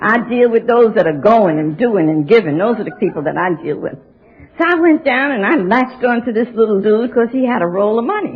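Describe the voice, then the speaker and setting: Very wide pitch swings mark this woman's speech. She talks at a fairly quick pace over noticeable background noise. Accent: American. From New York City. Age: 70s. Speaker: AA speaker. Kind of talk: recovery talk. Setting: stage with audience. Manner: animated.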